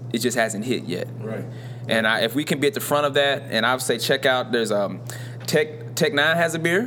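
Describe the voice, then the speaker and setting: Fairly quick male speech with ordinary pitch variation over noticeable background noise. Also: medium pitch for a man. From Louisville, Kentucky. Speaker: podcast host. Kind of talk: casual chat. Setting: live recording in a store.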